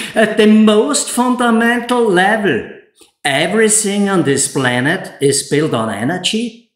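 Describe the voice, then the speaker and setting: With an Austrian accent, a man talks very slowly at a high pitch, his voice swinging very widely up and down amid audible room echo. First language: German. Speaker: solar installer and YouTuber. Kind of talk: scripted presentation; tutorial. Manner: less emotional, measured.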